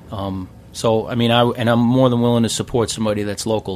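A man's fairly low, monotone voice with a New York accent at a moderate pace, flat in intonation. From New York City, Queens. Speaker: craft brewer. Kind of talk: casual chat. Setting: studio.

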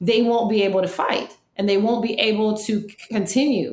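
There is audible room echo. A woman with a fairly high voice speaks at a fairly slow pace. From New York City (Queens), then New Orleans from age 10. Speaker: food media producer and somatic psychology practitioner. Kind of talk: interview conversation.

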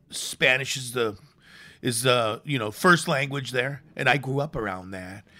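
With a Chicago accent, a man speaks at a fairly slow pace in a bright, sharp tone, with medium pitch and ordinary pitch variation, on a very clean recording with a silent background. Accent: Chicago American English. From US Midwest (Chicago). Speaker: chef and restaurateur. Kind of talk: casual chat. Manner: halting, many fillers.

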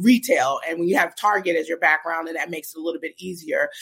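Someone with an American accent speaks over music in the background. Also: woman. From Brooklyn, New York. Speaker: cannabis business strategist. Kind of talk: interview.

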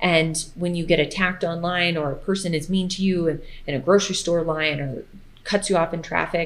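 In a normal speaking voice, the speaker keeps a moderate pace and a fairly even intonation. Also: woman, fairly low pitch for a woman. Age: 30s. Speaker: food blogger and fitness creator. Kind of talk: casual chat.

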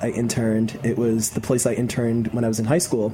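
Over noticeable background noise, a man with an American accent speaks at a very fast pace in a medium pitch. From New York City (Queens). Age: 20s. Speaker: chef and online cooking video host. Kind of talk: casual interview chat. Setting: studio.

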